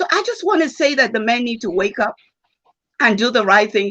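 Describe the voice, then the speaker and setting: In a Nigerian accent, a woman speaks with a fairly high pitch, lively intonation and an animated tone. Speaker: former bank executive, conference speaker. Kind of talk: panel discussion answer.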